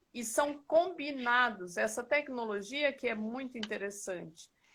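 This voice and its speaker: With a bright, sharp tone, a woman speaks at a high pitch and a very slow pace. Her pitch variation is ordinary. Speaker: live chat host. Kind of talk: casual chat. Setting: live stream. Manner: soft-spoken; halting.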